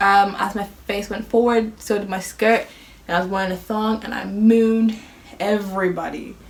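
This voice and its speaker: A woman at a medium pitch and moderate pace amid noticeable background noise. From Ireland. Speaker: youtuber. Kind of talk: casual chat. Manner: animated.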